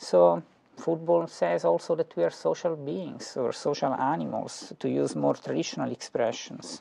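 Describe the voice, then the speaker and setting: The speaker talks at a moderate pace in an Italian accent. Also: man. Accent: Italian inflection. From Italy. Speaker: philosophy professor. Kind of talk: lecture. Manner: halting, many fillers and repetitions.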